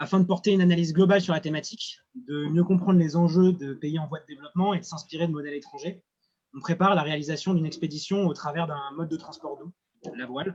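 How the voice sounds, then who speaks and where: Speaking very fast, a man uses a high pitch and fairly even intonation. His loudness swings widely. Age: 20s. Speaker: student and association founder. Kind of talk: project presentation. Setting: at sea.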